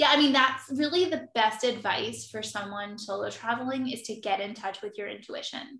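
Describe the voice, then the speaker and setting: A woman's bright, sharp, fairly high voice in a Philadelphia accent, at a moderate pace with hardly any pauses, ordinary pitch variation and big swings in loudness. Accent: Philadelphia-area American. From South Jersey, near Philadelphia. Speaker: travel writer. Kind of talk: casual interview chat.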